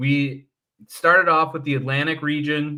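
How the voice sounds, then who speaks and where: In an American accent, a man speaks with a bright, sharp tone. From Michigan. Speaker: hockey podcast co-host. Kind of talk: casual chat. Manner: animated.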